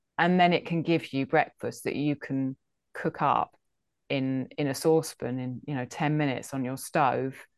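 A woman with an English accent, very deep and low in pitch, at a moderate pace with fairly even intonation over a quiet background. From England. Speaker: food history podcaster. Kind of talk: interview.

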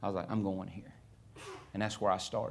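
This is a man speaking. He has an American accent. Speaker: missionary preacher. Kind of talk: sermon. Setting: church.

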